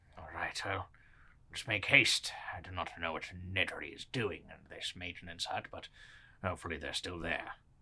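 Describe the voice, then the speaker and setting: Whispering in a put-on character voice, a man talks at a moderate pace with long, frequent pauses and big swings in loudness. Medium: actual play. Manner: formal, old-fashioned politeness.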